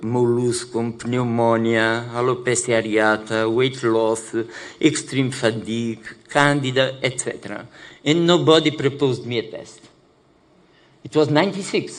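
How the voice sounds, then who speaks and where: Spoken with a Portuguese accent at a fairly slow pace, the voice has ordinary pitch variation and audible room echo. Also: man, medium pitch for a man. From Portugal. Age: 60s. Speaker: HIV activist living with HIV. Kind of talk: conference panel talk. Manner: halting, many fillers.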